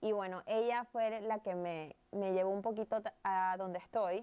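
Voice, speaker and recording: At a fairly slow pace, a woman speaks. Her pitch varies in an ordinary way. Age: 30s. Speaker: plant and terrarium entrepreneur; interviewee. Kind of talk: interview. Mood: warm, animated, laughs. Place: home room. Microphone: lapel.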